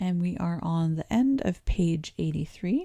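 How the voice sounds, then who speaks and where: A woman's fairly low, dark and mellow voice, somewhat breathy, with lively intonation, a very slow pace and a Canadian accent. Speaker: English teacher. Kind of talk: pronunciation livestream tutorial. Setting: livestream. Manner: calm.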